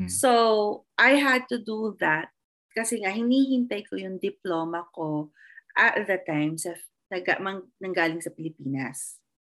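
In an unremarkable speaking voice of medium pitch, a woman talks at a fairly slow pace with lively intonation on a very clean recording with a silent background. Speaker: behavior analyst. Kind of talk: casual chat.

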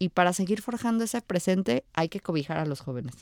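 Her voice is fairly low-pitched with a dark, mellow tone, and the woman speaks at a moderate pace in a dry, close sound with no echo on a very clean recording with a silent background. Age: 20s. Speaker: local politician and civil engineer. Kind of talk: interview.

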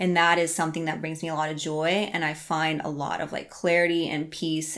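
A woman with a normal speaking voice and an American accent talks at a moderate pace, her pitch fairly low. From Iowa, US Midwest. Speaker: life and health coach. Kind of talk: casual interview.

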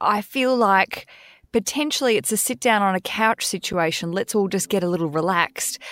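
In an Australian accent, a woman speaks at a moderate pace and medium pitch with ordinary pitch variation and very even loudness, the sound dry and close with no echo and the recording very clean with a silent background. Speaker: podcast host and author. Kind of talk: casual chat.

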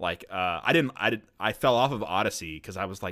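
On a very clean recording with a silent background, a man speaks at a fairly quick pace with a bright, sharp tone and very wide pitch swings. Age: 20s. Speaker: gaming podcast co-host. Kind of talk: casual chat.

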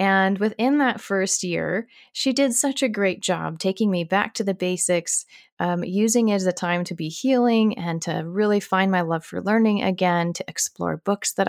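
In an ordinary speaking voice with an American accent, the speaker goes at a moderate pace with ordinary pitch variation, the sound dry and close with no echo on a very clean recording with a silent background. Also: woman. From Arizona, US. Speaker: podcast host, homeschool educator. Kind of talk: casual monologue answering listener questions.

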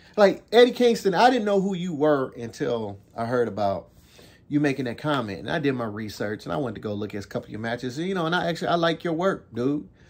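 Very fast and whiny, a man speaks at a fairly high pitch with very wide pitch swings. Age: 50s. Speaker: veteran pro wrestler and podcast host. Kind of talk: profane angry rant against a wrestling promotion. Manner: repetitive, stammering restarts; heated, scornful and emphatic with mocking whiny imitations.

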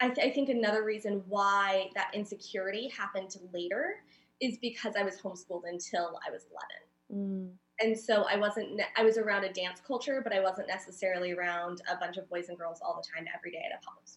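With a Californian accent, a woman talks at a fairly quick pace. Her loudness swings widely. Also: medium pitch for a woman, ordinary pitch variation. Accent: Californian American. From Southern California (San Diego area). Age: 30s. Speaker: community builder and creative. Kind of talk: casual interview conversation.

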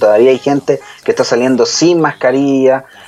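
A man with a fairly high pitch talks in an ordinary speaking voice. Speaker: TV show co-host. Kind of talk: casual chat and news commentary on live TV. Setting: home office, remote broadcast.

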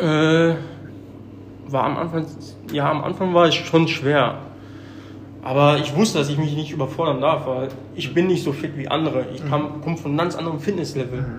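A man's fairly high voice at a moderate pace, with long, frequent pauses and audible room echo. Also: fairly even intonation. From Germany. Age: 30s. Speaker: gym member who lost a lot of weight. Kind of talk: casual interview.

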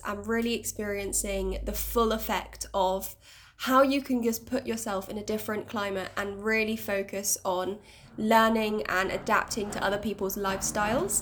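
A woman's medium-pitched voice in a Bristol accent, with fairly even intonation. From Bristol, England. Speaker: podcast co-host, dance teacher. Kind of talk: casual podcast introduction.

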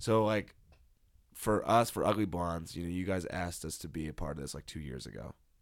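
Here a man speaks with a very deep, low pitch and vocal fry, at a fairly quick pace. The pitch varies in an ordinary way, and the recording is very clean with a silent background. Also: big swings in loudness. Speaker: podcast host. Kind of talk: casual chat. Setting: home recording.

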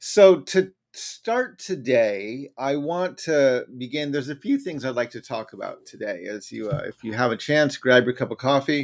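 A man's normal speaking voice with an American accent, fairly high in pitch and fairly slow, with lively intonation and big swings in loudness, on a very clean recording with a silent background. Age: 50s. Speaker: political commentator and author. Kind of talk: solo livestream commentary. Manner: casual, conversational.

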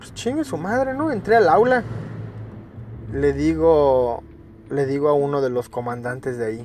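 A man speaks with a Mexican accent at a fairly slow pace, leaving long, frequent pauses. His loudness swings a lot. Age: 30s. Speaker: podcaster telling his life story. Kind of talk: personal storytelling monologue. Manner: casual, with many fillers and repetitions.

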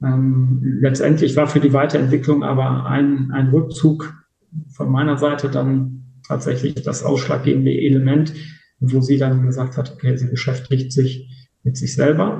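A man with a medium pitch speaks at a fairly slow pace in a dark, mellow, somewhat breathy tone. His intonation is monotone and flat, and room echo is audible. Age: 50s. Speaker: interview guest. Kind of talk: personal testimony.

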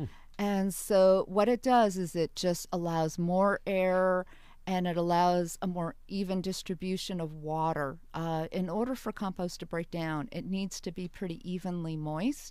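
Over a silent background on a very clean recording, a woman with an American accent speaks at a fairly slow pace. Her medium pitch has ordinary variation and a dark, mellow tone. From New York area. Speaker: university research administrator and gardener. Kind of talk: radio interview.

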